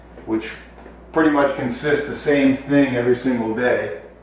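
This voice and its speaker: A man with an American accent talks at a moderate pace in a medium pitch, his intonation fairly even. Audible room echo and noticeable background noise come through on the recording. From South Florida, Miami Beach. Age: 50s. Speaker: retired police officer. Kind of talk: casual video tour, self-introduction. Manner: casual, conversational with fillers.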